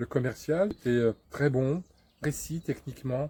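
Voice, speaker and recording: At medium pitch, a man talks at a moderate pace in a dark, mellow, somewhat breathy tone. His pitch variation is ordinary. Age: 60s. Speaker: customer giving a testimonial. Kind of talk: testimonial interview. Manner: hesitant, many fillers.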